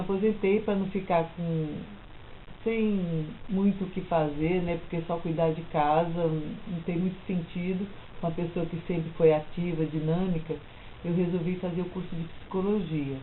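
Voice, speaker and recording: A woman talks at a fairly slow pace. Her fairly low voice carries audible room echo. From São Paulo, Brazil. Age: 60s. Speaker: retired teacher and psychology student. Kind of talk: life story interview.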